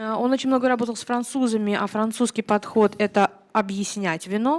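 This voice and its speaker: Spoken in a Russian accent at a very fast clip, the voice sounds dry and close with no echo. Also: woman, fairly high pitch for a woman. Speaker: interpreter. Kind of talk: consecutive interpreting. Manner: hesitant, many filler sounds.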